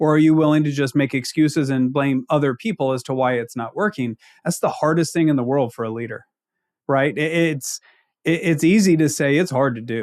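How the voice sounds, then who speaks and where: On a very clean recording with a silent background, a man with a slight Ozark accent speaks fairly quickly at a fairly high pitch with ordinary pitch variation. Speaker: accounting leadership consultant. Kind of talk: podcast interview.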